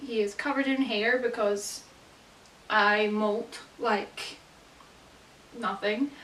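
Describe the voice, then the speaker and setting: This is a woman speaking. She has a Scottish accent. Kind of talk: casual talk to camera. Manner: upbeat, chatty.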